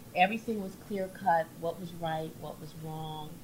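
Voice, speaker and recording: Speaking at a fairly slow pace in a somewhat breathy voice, a woman with a fairly low pitch keeps a monotone, flat intonation amid audible room echo. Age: 50s. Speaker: business directory co-founder. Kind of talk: casual interview chat.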